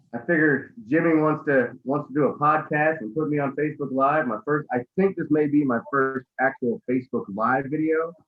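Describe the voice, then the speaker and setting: A man with a plain, everyday voice speaks at a moderate pace and fairly high pitch, with ordinary pitch variation and hardly any pauses. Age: 30s. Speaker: cigar company co-founder. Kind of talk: casual interview. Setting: video call.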